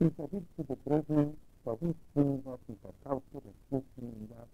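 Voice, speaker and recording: Fairly slow and dark, mellow in tone, a man speaks with ordinary pitch variation. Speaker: retired Protestant pastor. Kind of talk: slide show lecture on local history. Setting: old analog tape recording, poor sound. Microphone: old recording.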